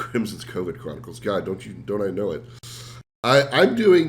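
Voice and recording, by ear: A man puts on a hoarse character voice at a medium pitch. He keeps a moderate pace with big swings in loudness.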